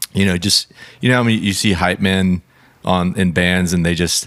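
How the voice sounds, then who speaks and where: A man speaks at a very deep, low pitch with ordinary pitch variation. His pace is moderate. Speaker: musician and comedic performer. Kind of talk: casual chat.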